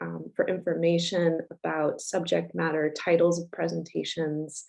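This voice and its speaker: Music plays behind a woman who talks fairly slowly. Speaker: nonprofit founder and director opening a symposium. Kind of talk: welcome remarks at a virtual symposium. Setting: video conference. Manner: hesitant, many fillers; slow, unhurried.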